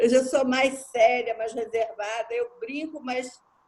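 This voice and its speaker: A woman talks at a fairly slow pace. Her high pitch shows ordinary variation. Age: 70s. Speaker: participant in spiritist study group. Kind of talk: group discussion sharing.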